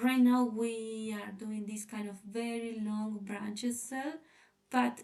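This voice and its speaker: At a very slow pace, a woman with a non-native accent speaks in a dark, mellow tone at a fairly high pitch. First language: not English. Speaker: designer presenting a sketch. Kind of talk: presentation. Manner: halting.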